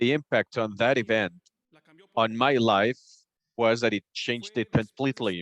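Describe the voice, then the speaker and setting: Speaking with a Spanish accent, a man uses medium pitch and fairly even intonation, with long, frequent pauses. The sound is dry and close, with no echo. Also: moderate pace. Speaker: community speaker at public assembly. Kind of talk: public testimony speech.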